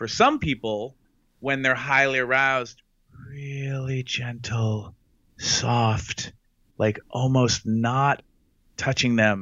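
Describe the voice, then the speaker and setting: A man talks at a medium pitch with ordinary pitch variation, in an ordinary speaking voice. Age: 50s. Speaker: sex educator. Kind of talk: interview.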